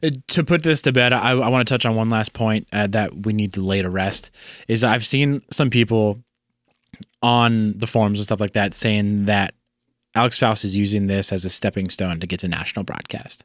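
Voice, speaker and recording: On a very clean recording with a silent background, a man talks at a moderate pace. He has an ordinary speaking voice, fairly low in pitch with ordinary variation. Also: dry, close sound with no echo. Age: 30s. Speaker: sports podcast co-host. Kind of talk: casual chat.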